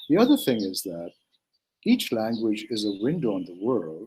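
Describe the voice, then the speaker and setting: A man's voice at medium pitch, with a Manipur accent. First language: Manipuri. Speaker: writer and translator. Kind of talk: interview. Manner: halting, with many fillers.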